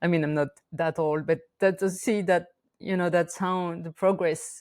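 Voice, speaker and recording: The speaker has a French accent and fairly even intonation at a moderate pace. The recording is very clean, with a silent background. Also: woman, fairly low pitch for a woman. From France, Auvergne volcano region. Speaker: shamanic practitioner and teacher. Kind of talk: interview conversation. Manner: halting, many fillers.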